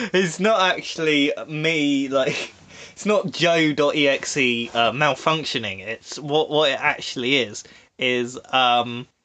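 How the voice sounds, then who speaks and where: Speaking at a very slow pace, a man with an English accent has a fairly high pitch and ordinary pitch variation. His tone is bright and sharp, and the background is quiet. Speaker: podcast host. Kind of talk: casual chat. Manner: frequent pauses and filler words.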